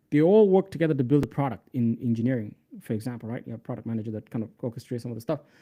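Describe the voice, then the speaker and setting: A man's very fast speech with a non-native accent, big swings in loudness and ordinary pitch variation. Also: medium pitch for a man. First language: not English. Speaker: developer relations lead and livestream tutor. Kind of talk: live coding tutorial. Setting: livestream. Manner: casual, filler-heavy.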